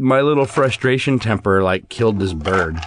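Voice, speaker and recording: This is a man's voice. His pitch swings very widely. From US Midwest. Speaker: podcast co-host. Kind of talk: casual chat. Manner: loud.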